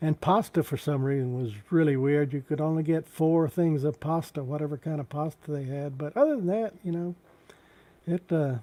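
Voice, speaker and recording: A man with a Texan accent, a dark, mellow tone and a fairly high pitch on a very clean recording with a silent background. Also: ordinary pitch variation, moderate pace. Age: 70s. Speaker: YouTube live streamer. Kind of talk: casual live stream chat. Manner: halting.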